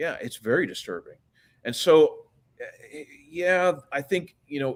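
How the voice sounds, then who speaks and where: A man with an American accent speaks at a fairly slow pace, his loudness swinging widely. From US, Washington DC. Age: 60s. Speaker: author. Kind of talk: interview.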